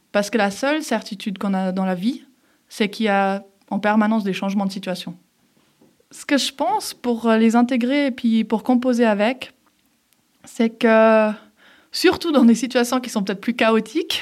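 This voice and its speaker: A woman speaks at a moderate pace with a fairly high pitch and ordinary pitch variation. Her pauses are long and frequent. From Geneva, Switzerland (from age 11). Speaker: former elite judoka and entrepreneur. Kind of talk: interview. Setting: studio.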